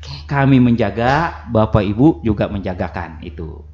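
A man talks at a moderate pace in a fairly low, somewhat breathy voice. The room echo is audible, with light background noise. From South Kalimantan, Kintap; South Kalimantan, Indonesia. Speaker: religious court chief judge; radio guest. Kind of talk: radio talk show interview. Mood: earnest, appealing, promising. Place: studio.

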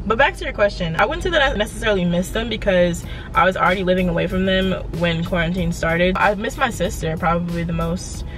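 Against clear music in the background, a woman speaks at a very fast pace with ordinary pitch variation and a dry sound with no echo. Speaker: vlogger. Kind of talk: casual vlog chat. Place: car. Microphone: phone near.

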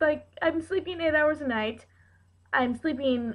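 A woman's voice against a quiet background. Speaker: vlogger. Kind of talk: casual vlog chat. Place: kitchen. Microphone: webcam.

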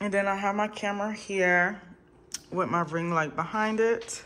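In a bright, sharp tone, a woman talks at a moderate pace with fairly even intonation. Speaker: content creator. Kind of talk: casual vlog chat. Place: home room. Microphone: phone near.

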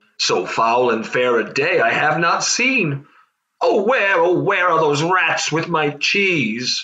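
A man's cartoonish character voice, high-pitched and very slow. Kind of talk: comic puppet Shakespeare parody.

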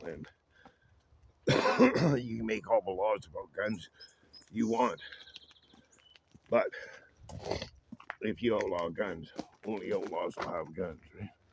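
Over noticeable background noise, a man talks at a fairly slow pace with long, frequent pauses, in a dry sound with no echo. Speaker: vlogger. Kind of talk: casual vlog chat. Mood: relaxed, reflective, opinionated. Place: open country. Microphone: phone near.

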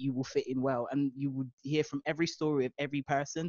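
Over a quiet background, a man talks at a very fast pace, the sound dry with no echo. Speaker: guest. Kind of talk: interview answer. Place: home room.

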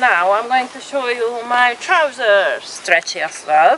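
Against noticeable background noise, a woman speaks at a very slow pace in a dry recording with no echo. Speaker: outdoor vlogger reviewing gear. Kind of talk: casual product review chat. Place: open country. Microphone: phone near.

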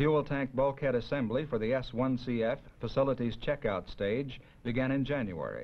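A man with a normal speaking voice, medium in pitch, at a moderate pace, with very even loudness and fairly even intonation. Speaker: documentary narrator. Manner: formal; measured, even-paced and matter-of-fact.

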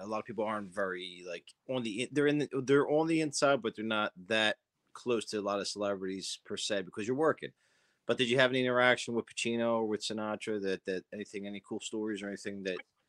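A man with a Philadelphia accent, talking very fast against a quiet background. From South Philadelphia. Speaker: interview show host. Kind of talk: interview. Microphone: video call.

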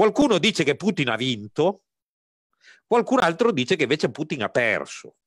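A man's voice with a dry, close sound and no echo. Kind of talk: interview. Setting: video call. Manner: halting, many fillers.

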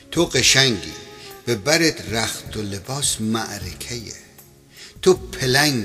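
With music in the background, the speaker talks in a Khorasani accent at a very slow pace, the intonation lively. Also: man. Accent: Khorasani Persian. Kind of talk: poetry reading over music.

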